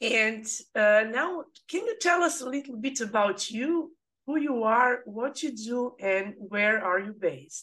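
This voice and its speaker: A woman with a Serbian accent speaks at a fairly slow pace and a high pitch. Her tone is bright and sharp, with lively intonation. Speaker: podcast host. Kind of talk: interview, podcast conversation. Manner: halting, non-fluent.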